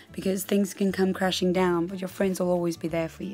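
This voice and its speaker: A woman's medium-pitched voice is heard with music in the background. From South Africa. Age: 20s. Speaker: actress. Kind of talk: casual talk to camera.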